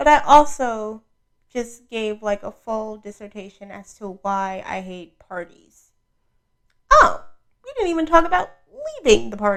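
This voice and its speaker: A woman speaks with an American accent at a fairly high pitch, her intonation lively and her loudness swinging widely. Her pace is fairly slow, broken by long, frequent pauses. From New York City (Brooklyn). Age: 20s. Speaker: podcast host. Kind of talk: casual monologue. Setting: audio-only podcast recording. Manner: soft-spoken.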